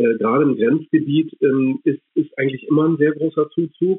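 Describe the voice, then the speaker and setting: The speaker is a man. He talks at a moderate pace. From Germany. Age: 50s. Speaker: relocation advisor for a municipality. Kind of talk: interview. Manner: halting, many filler sounds.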